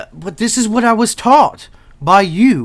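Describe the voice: A man speaks slowly at a high pitch. He uses a put-on character voice.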